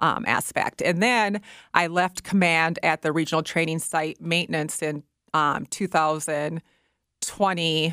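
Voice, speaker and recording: A very clean recording with a silent background and a dry, close sound with no echo. It carries an ordinary speaking voice at a moderate pace with fairly even intonation. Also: woman. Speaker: military nutrition officer. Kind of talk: radio interview. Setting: studio.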